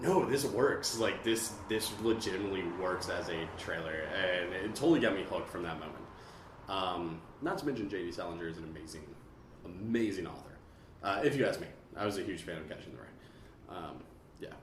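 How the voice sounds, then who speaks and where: A man with a fairly low pitch is heard with audible room echo and noticeable background noise. His loudness swings widely. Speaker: podcast host. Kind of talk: casual chat. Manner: animated.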